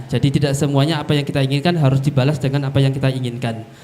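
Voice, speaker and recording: A fairly high-pitched man with music in the background. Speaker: moderator. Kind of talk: seminar moderation.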